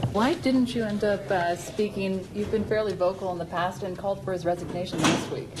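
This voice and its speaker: Over noticeable background noise, a woman at medium pitch talks at a fairly quick pace with hardly any pauses. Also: ordinary pitch variation. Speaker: TV news anchor and reporter. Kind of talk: TV news field report.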